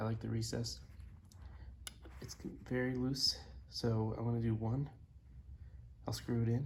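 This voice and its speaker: A man talks at a moderate pace, leaving long, frequent pauses. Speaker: musician building a bass guitar. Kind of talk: casual video log. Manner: quiet; casual, hesitant.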